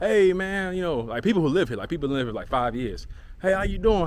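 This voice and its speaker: With an American accent, a man talks at a very fast pace. His pitch is high. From North Carolina. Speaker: trading educator and vlogger. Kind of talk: casual storytelling monologue.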